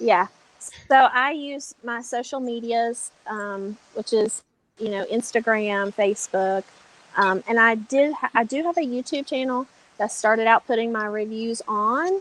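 With a dry, close sound and no echo, a woman speaks fairly slowly in a normal speaking voice, her pitch fairly high with ordinary variation. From North Carolina mountains. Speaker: cigar reviewer. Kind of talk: interview.

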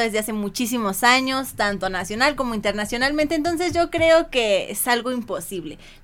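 Against a silent background in a very clean recording, a woman with a high pitch talks at a fairly quick pace with lively intonation. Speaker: podcast guest. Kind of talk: casual chat.

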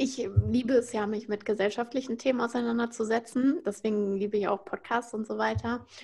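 This woman has an ordinary speaking voice, fairly high in pitch. She talks at a moderate pace with fairly even intonation. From Frankfurt, Germany. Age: 20s. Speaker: influencer marketing consultant. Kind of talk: podcast interview.

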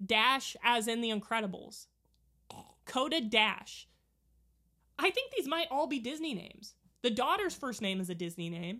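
A woman speaks loudly at a moderate pace in a bright, sharp tone, with very wide pitch swings and long, frequent pauses, on a very clean recording with a silent background. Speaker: podcast co-host. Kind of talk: casual chat. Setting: watching a movie together.

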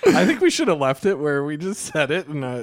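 A man with a normal speaking voice and a fairly high pitch talks at a fairly quick pace, recorded with a dry, close sound with no echo. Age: 30s. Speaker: podcast co-host and teacher. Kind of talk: casual chat.

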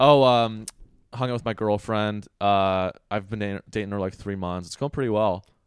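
A man speaks with a fairly low pitch and fairly even intonation. His pace is moderate. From US West Coast, South Bay Area California. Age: 20s. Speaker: stand-up comedian. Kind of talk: casual chat.

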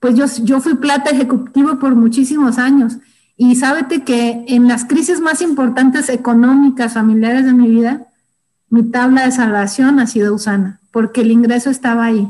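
Her tone dark and mellow, a woman speaks at a high pitch with fairly even intonation and very even loudness. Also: moderate pace. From Durango, Mexico. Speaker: network marketing distributor. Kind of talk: motivational training talk. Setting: internal training session.

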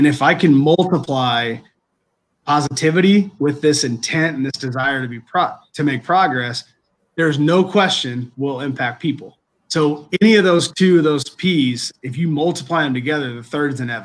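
A man's fairly high pitch shows ordinary pitch variation in a normal speaking voice. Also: moderate pace. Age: 30s. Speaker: college athletic director. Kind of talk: interview.

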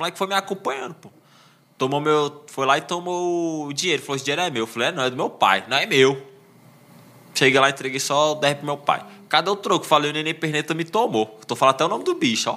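A man speaks very fast in a bright, sharp tone, his pitch fairly high and its variation ordinary. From Brazil, Ceilândia (Federal District). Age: 30s. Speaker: social media page creator and stand-up comedian. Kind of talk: casual chat.

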